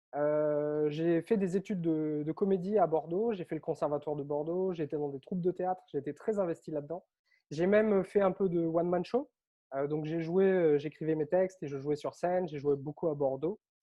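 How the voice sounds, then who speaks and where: Speaking high for a man, he keeps a moderate pace and fairly even intonation. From Réunion. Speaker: author and online coach. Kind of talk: interview.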